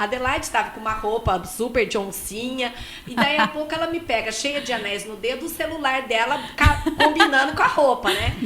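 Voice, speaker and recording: Over noticeable background noise, a woman uses a raised, projected voice with a high pitch and lively intonation. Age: 50s. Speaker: radio co-host. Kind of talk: casual chat. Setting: studio.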